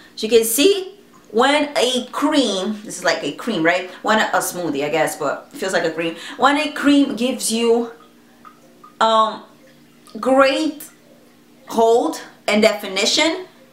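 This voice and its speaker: Over noticeable background noise and audible room echo, a woman with a fairly high pitch speaks at a fairly slow pace, her pitch swinging very widely between long, frequent pauses. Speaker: beauty vlogger. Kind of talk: product review vlog. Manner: casual, conversational.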